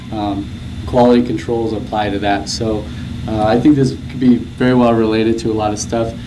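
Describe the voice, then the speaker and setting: A soft-spoken man talks at a medium pitch with fairly even intonation. The room echo is audible, and there is noticeable background noise. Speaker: graduate student researcher presenting. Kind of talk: conference presentation. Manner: hesitant, many fillers.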